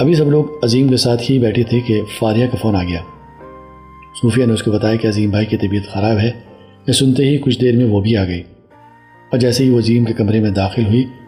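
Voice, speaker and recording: A man's medium-pitched voice at a moderate pace, with very even loudness, ordinary pitch variation and music in the background. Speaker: radio jockey. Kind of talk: audio story narration.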